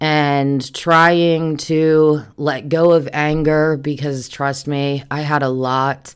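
Over a silent background in a very clean recording, a woman with a very deep, low pitch speaks at a very slow pace. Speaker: podcast host, trafficking survivor. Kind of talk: casual solo monologue. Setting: at home computer microphone. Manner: loud.

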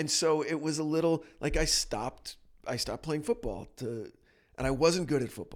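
In a very clean recording with a silent background, a man with an American accent speaks in a normal speaking voice, fairly high in pitch, with ordinary pitch variation. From New Jersey. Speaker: podcast host. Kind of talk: casual chat. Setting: studio.

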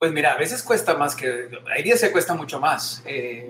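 A man speaks fairly quickly with a fairly high pitch and ordinary pitch variation. Background noise is noticeable. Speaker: TV presenter and singer. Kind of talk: casual interview. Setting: video call.

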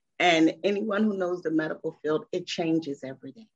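In an ordinary speaking voice, a woman talks at a moderate pace with fairly low pitch and lively intonation. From Philadelphia, US. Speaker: small business owner, edibles maker. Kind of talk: casual interview.

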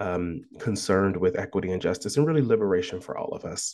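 Speaking fairly quickly with an American accent, a man uses a fairly low pitch and ordinary pitch variation over a quiet background. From US Midwest (Columbus, Ohio). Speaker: professor. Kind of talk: interview about his book.

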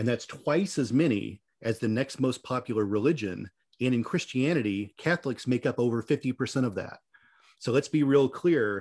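This man has an unremarkable speaking voice, medium in pitch, with ordinary pitch variation at a moderate pace. The recording is very clean with a silent background. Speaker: podcast producer. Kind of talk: casual Q&A chat, reading listener questions.

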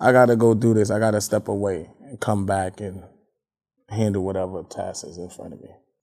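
In an unremarkable speaking voice, a man talks fairly quickly at a fairly low pitch, his intonation fairly even but his loudness swinging widely. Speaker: spoken word poet. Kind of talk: casual interview.

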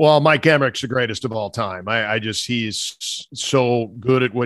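In an American accent, a man talks at a moderate pace and medium pitch in an ordinary speaking voice. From US Midwest, Minnesota. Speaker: radio play-by-play announcer. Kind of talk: interview chat.

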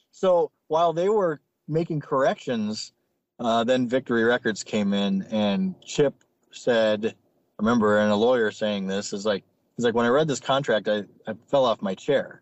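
In an American accent, a man with a plain, everyday voice talks at a moderate pace, his medium pitch carrying lively intonation. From South Dakota, US (Sioux Falls). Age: 30s. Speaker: rock musician. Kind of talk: casual chat.

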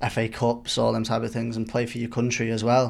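In a Mancunian accent, a man speaks at medium pitch with monotone, flat intonation, recorded very cleanly against a silent background. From Manchester, England. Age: 20s. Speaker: professional footballer. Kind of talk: interview. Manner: halting, repeats words.

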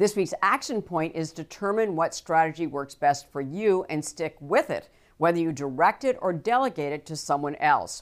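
A woman talks in an ordinary speaking voice, fairly low in pitch, with lively intonation at a moderate pace. The recording is very clean, with a silent background. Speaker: financial TV/podcast host. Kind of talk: interview.

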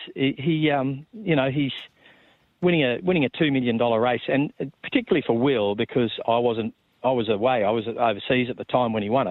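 This man speaks with an Australian accent at a fairly quick pace. His pitch is medium, with ordinary variation. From New South Wales, Australia (Sydney and Yass). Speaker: racehorse trainer and former broadcaster. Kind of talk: interview. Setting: phone call. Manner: casual.

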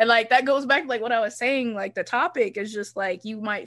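A woman with a normal speaking voice and an American accent, fairly high in pitch, ordinary pitch variation, a fairly quick pace, quiet background. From US South, Charlotte area, North Carolina. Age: 20s. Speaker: podcast host. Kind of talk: casual chat.

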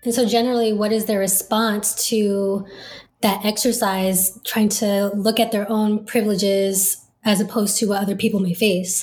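Somewhat breathy and medium in pitch, a woman speaks in a monotone, flat intonation at very even loudness. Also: moderate pace. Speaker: law student. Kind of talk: interview.

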